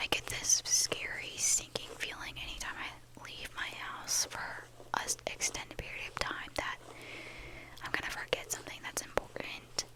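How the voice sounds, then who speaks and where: Over noticeable background noise, the whispering keeps a moderate pace. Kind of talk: ASMR casual talk to camera. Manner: whispered.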